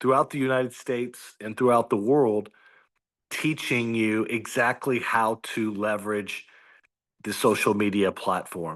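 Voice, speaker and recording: Against a quiet background, a man talks at a fairly slow pace in an ordinary speaking voice, medium in pitch with ordinary pitch variation. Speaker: business coach. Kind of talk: video call presentation. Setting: video call.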